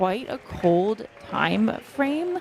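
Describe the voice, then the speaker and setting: Crowd noise sits in the background. A woman speaks with an American accent at a fairly high pitch. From US. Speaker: trail running commentator. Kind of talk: live commentary. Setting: outdoors at race aid station.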